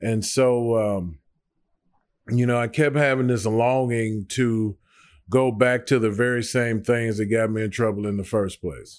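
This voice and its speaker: A man with an American accent and a medium pitch speaks at a fairly slow pace with fairly even intonation, in a very clean recording with a silent background. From US South, Nashville, Tennessee. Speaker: ministry staff member, former offender. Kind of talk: testimony. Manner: halting, many fillers.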